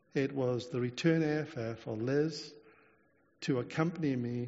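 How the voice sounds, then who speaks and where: Pitch shows ordinary variation. The speech moves at a moderate pace. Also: man. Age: 60s. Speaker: preacher. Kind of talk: sermon. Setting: church. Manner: halting.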